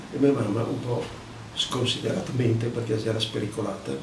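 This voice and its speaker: Very fast speech from a man, with audible room echo and noticeable background noise. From Veneto, Treviso province. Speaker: war eyewitness. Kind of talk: testimony.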